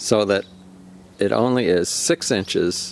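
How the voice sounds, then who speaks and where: A man's fairly low voice, dry and close with no echo. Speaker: slingshot hobbyist video maker. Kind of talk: casual tutorial demonstration. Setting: outdoors.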